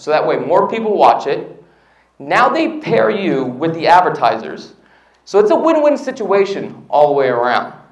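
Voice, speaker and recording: A man talks at a fairly slow pace with a high pitch and very wide pitch swings. Audible room echo surrounds his voice. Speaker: real estate agent and YouTuber. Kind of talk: seminar talk.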